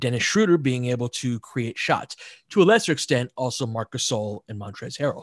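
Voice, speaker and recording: A man with an ordinary speaking voice talks at a fairly quick pace and medium pitch, the sound dry and close with no echo over a quiet background. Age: 40s. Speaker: basketball analyst. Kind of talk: casual chat.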